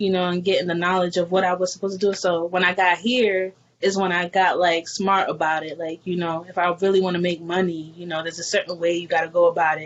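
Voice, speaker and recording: A woman with a New York accent talks very fast with hardly any pauses, her fairly low voice flat and monotone. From New York, the Bronx. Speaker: hip hop artist. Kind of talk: casual interview.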